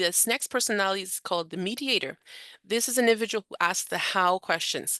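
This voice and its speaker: A woman with a Canadian accent speaks fairly quickly in a bright, sharp tone, with a dry, close sound, no echo and a quiet background. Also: medium pitch for a woman, ordinary pitch variation. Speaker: charity director and trainer. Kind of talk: training presentation. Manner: fast.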